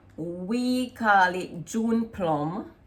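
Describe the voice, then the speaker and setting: Lively intonation from a woman with a Jamaican accent. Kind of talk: casual talk to camera.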